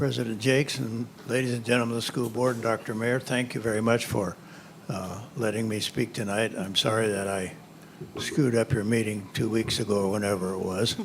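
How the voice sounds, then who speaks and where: A man at a medium pitch, fairly quick pace, and noticeable background noise. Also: fairly even intonation. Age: 80s+. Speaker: retired resident giving public comment. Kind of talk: public comment at a meeting. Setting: school board meeting room.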